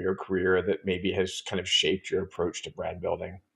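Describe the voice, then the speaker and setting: A man talks at a fairly quick pace. Behind him, the background stays quiet. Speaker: podcast host. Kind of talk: podcast interview. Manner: enthusiastic. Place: home room.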